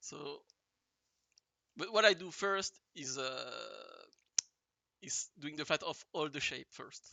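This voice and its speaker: Very slow speech in a strong French accent, broken by long, frequent pauses. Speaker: digital artist. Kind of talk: tutorial. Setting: livestream. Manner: halting, many fillers.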